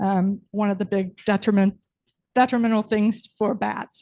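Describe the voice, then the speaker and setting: A soft-spoken woman's fairly high voice with a dark, mellow tone, fairly even intonation and moderate pace, in a dry, close sound with no echo and a quiet background. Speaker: marine science professor. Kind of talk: presentation to city council.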